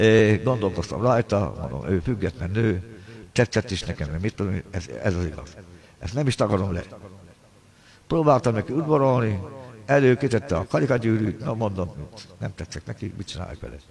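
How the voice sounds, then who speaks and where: Using very wide pitch swings at a moderate pace, a man with fairly low pitch and vocal fry talks over light background noise. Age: 60s. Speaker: pianist and livestreamer; livestreamer. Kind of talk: angry livestream rant. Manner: agitated. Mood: aggrieved, complaining. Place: home room. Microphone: earbuds.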